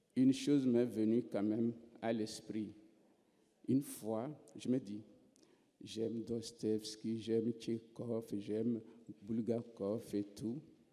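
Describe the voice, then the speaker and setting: With a dark, mellow tone, a man speaks at a very slow pace in a monotone, flat intonation, with long, frequent pauses. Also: medium pitch for a man. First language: unwritten African mother tongue (speaking French). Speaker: writer. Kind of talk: literary panel discussion.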